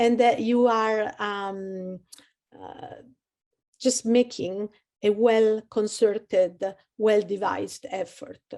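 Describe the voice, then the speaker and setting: A woman with an Italian accent speaks in a dark, mellow tone. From Italy, Rome. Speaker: career services advisor. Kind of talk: webinar presentation.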